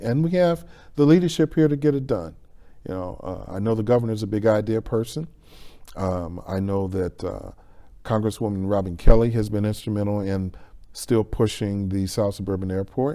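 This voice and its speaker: A man with an American accent talks at a fairly quick pace, his fairly low voice dark and mellow, with lively intonation. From Chicago area, Illinois. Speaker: economic development consultant. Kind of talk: interview.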